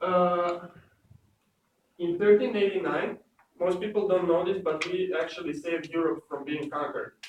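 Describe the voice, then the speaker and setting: A high-pitched male voice in a strong Serbian accent, delivered at a moderate pace. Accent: thick Serbian. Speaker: student presenter. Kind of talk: class presentation. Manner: halting, many fillers.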